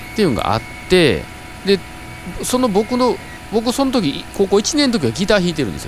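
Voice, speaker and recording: With noticeable background noise behind him, a man with a high voice speaks with long, frequent pauses. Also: lively intonation, fairly quick pace. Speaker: band member, podcast host. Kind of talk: casual chat.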